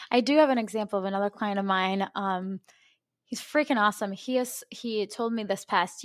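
Recorded very cleanly with a silent background and a dry, close sound with no echo, a woman talks in a plain, everyday voice at a fairly high pitch with ordinary pitch variation and a fairly quick pace. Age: 20s. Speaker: personal trainer, podcast host. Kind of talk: casual chat.

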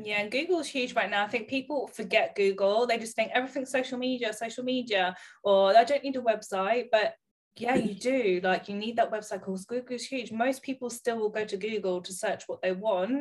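In a southern England accent, a woman speaks at a fairly quick pace with ordinary pitch variation. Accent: British English, southern England. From Bedfordshire, England. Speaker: salon owner and podcast host. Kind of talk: casual interview chat. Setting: remote call between two countries.

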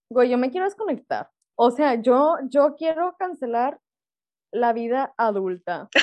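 With lively intonation and a high pitch, a woman talks at a fairly slow speed. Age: 20s. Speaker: podcast co-host, doctor. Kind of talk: casual chat.

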